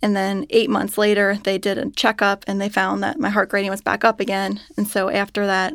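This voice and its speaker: A woman with a Midwestern American accent speaks at a medium pitch in a very clean recording with a silent background. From Cincinnati, Ohio, US Midwest. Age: 30s. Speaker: patient, mother. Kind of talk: interview, personal testimony. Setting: studio.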